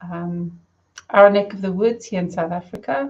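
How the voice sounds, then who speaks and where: A woman speaks at a fairly slow pace in a medium-pitched, somewhat breathy voice with ordinary pitch variation. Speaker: spiritual medium. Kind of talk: live stream talk. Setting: live stream. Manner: mumbling.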